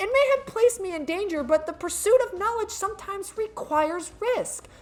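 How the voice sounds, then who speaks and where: A woman puts on a squeaky character voice at an extremely high pitch, talking fairly quickly with lively intonation and big swings in loudness. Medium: game stream. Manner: haughty, contemptuous.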